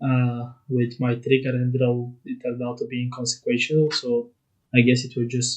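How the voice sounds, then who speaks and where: Quiet and somewhat breathy, a man speaks at a medium pitch and a fairly slow pace. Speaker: YouTuber playing card game. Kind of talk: casual chat. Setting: childhood bedroom at night. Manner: quiet, keeping voice down.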